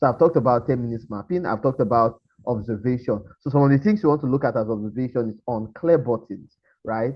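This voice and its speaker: The speaker is a man with a medium-pitched voice. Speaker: webinar presenter, startup founder. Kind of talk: webinar presentation. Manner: fast; animated.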